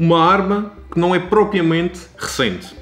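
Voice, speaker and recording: A man speaks in a Madeiran accent at a fairly slow pace. Music plays behind him. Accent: European Portuguese, Madeiran. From Madeira, Portugal. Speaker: vlogger. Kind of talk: documentary-style political commentary narration.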